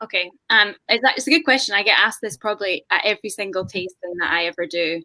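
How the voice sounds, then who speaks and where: The sound is dry and close with no echo as a woman speaks very fast at a medium pitch. Her tone is bright and sharp, her intonation lively. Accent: Scottish. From Scotland. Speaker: whisky brand ambassador. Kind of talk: panel discussion on video call.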